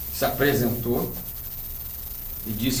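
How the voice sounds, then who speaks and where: A man at medium pitch with monotone, flat intonation and a moderate pace, amid audible room echo and noticeable background noise. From Rio de Janeiro state, Brazil. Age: 60s. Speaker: ufologist and author. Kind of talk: interview. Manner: hesitant, many fillers.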